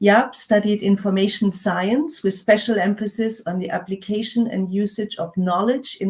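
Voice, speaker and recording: A woman's medium-pitched, somewhat breathy voice at a moderate pace, with ordinary pitch variation. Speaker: conference MC. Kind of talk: conference introductions. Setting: virtual conference. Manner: hesitant, many fillers.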